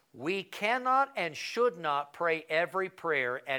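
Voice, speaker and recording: A man's bright, sharp tone rises and falls in very wide pitch swings. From Colorado, rural. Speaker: pastor. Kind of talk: Bible study lesson.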